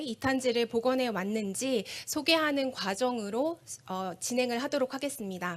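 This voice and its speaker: A high-pitched woman's voice with ordinary pitch variation at a moderate pace. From Korea. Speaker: forest researcher. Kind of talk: conference presentation. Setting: stage with audience. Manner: formal.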